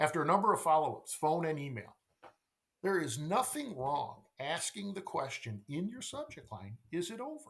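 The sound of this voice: In a fairly high voice with a fairly bright tone and vocal fry, a man talks at a moderate pace with big pitch swings.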